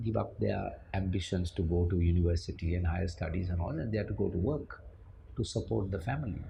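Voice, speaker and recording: At a moderate pace, a man speaks with a very deep, low pitch. Vocal fry runs through his voice. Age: 60s. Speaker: former managing director of an IT firm. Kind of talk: interview.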